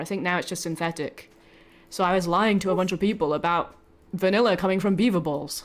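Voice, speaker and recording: A woman speaks with a British accent at a fairly quick pace. The recording is very clean, with a silent background. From Britain. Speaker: vtuber streamer. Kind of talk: casual live stream chat. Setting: live stream.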